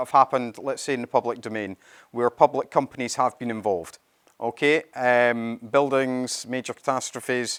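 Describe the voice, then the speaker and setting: A man's medium-pitched voice in a Scottish accent, dry and close with no echo. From Scotland. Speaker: company CEO presenting a product. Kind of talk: conference presentation. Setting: stage with audience at event.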